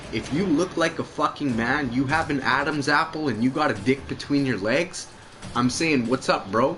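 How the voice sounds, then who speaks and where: Over noticeable background noise, a man speaks in an animated tone at a fairly high pitch. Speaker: gaming livestreamer. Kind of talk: casual chat during game livestream. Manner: animated, repetitive stammering.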